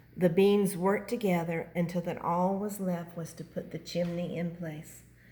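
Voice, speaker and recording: A woman with a dark, mellow, somewhat breathy voice speaks at a moderate pace, fairly low and monotone, with big swings in loudness. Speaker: grandmother reading a picture book to her grandchild. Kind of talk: children's book reading.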